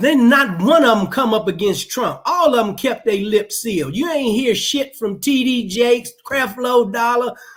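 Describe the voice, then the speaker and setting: A man speaks loudly at an extremely high pitch, with ordinary pitch variation and a moderate pace. He leaves hardly any pauses, and background noise is noticeable. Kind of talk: heated discussion on live talk show.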